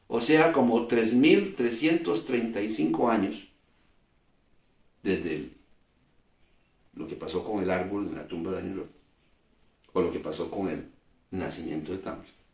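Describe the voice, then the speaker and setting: Audible room echo surrounds a man speaking at a fairly slow pace. His intonation is lively, with long, frequent pauses. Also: fairly low pitch for a man. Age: 60s. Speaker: preacher. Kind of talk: sermon. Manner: halting.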